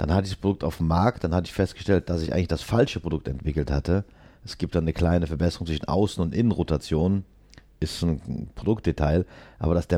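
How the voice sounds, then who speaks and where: Very deep and low-pitched, a man talks at a very fast pace in a dark, mellow tone with ordinary pitch variation, on a very clean recording with a silent background. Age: 50s. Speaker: dental implant manufacturer. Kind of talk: interview.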